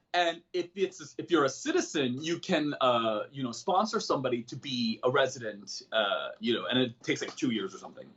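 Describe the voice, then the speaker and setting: A fairly quick, lively man with an American accent, his pitch fairly high and hardly any pauses in his speech. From South Korea, moved to US at nine. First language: Korean. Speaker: comedian and personal development coach. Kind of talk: podcast interview. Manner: animated.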